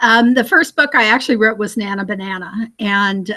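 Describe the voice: A woman speaks with medium pitch, fairly even intonation and a bright, sharp tone.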